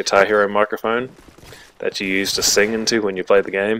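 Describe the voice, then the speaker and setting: This man has an Australian accent. He speaks at a moderate pace in a flat monotone. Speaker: gaming YouTuber. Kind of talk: gameplay commentary. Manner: hesitant, many fillers.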